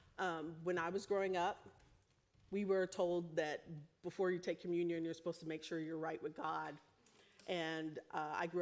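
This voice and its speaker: Moving at a moderate pace with fairly even intonation, a plain, everyday voice speaks with an American accent. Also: woman. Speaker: preacher. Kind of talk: sermon. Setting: church.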